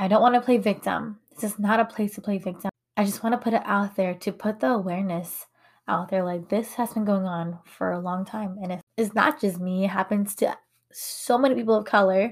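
With an American accent, a woman speaks fairly quickly in a medium-pitched, somewhat breathy voice with ordinary pitch variation, on a very clean recording with a silent background. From United States, Hmong American community. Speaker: podcast host. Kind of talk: personal monologue podcast. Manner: casual, conversational with fillers and laughs.

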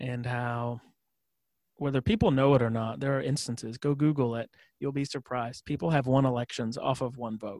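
A medium-pitched man moves at a fairly quick pace with fairly even intonation in an unremarkable speaking voice. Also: dry, close sound with no echo, very clean recording, silent background. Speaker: podcast host. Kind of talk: casual interview conversation.

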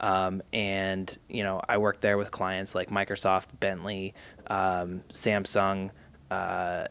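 A man talks in a fairly low, monotone voice with flat intonation, in a very clean recording with a silent background. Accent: American. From Massachusetts, outside Boston. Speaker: creative agency executive and father. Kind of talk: interview.

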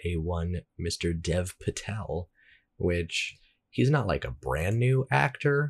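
With a quiet background behind him, a man speaks in a very deep, low pitch with vocal fry and lively intonation. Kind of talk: casual chat.

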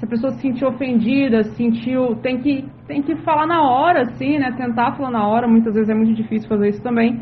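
A woman talks fairly quickly in a high pitch with ordinary pitch variation and hardly any pauses. Room echo is audible. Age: 30s. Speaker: city councillor. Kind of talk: interview.

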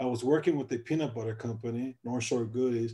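A man with an American accent speaks at a fairly quick pace and a medium pitch, with fairly even intonation and a dark, mellow tone. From US Midwest, South Side Chicago. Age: 30s. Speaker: entrepreneur, BBQ sauce company founder, Marine veteran. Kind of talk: interview.

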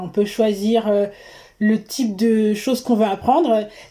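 Recorded very cleanly with a silent background, a woman speaks at a very slow pace in a dark, mellow tone. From Paris region, France. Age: 30s. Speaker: traveller, wwoofer. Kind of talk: interview, casual chat.

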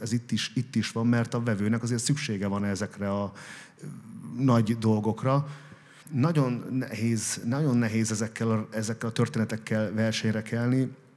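A man with a normal speaking voice, medium in pitch, talks at a fairly quick pace with fairly even intonation. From Hungary, Békés county. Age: 40s. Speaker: restaurant owner and businessman. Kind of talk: interview before live audience. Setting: café event with audience.

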